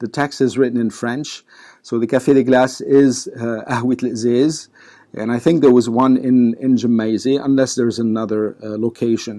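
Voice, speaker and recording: With a dark, mellow tone, a man at medium pitch speaks at a moderate pace with fairly even intonation. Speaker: lecturer / historian on Lebanese history. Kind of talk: lecture-style talk to camera. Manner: casual, with frequent hesitations.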